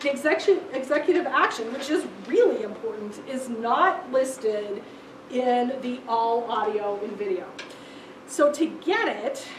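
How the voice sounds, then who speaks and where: Over noticeable background noise and audible room echo, a woman speaks at a high pitch with very wide pitch swings. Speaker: law librarian presenting a legal research class. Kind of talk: lecture.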